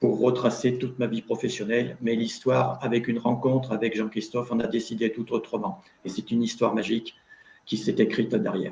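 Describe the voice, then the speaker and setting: A man talks at a fairly quick pace. His pitch is medium and his intonation fairly even. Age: 60s. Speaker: retired factory worker and author. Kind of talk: panel discussion in a video conference. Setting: video conference.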